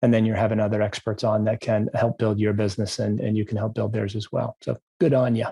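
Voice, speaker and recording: A man's dark, mellow voice at a fairly low pitch, very fast with hardly any pauses, fairly even intonation and vocal fry. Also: dry, close sound with no echo. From Maine, US. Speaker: podcast host, business broker. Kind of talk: podcast interview.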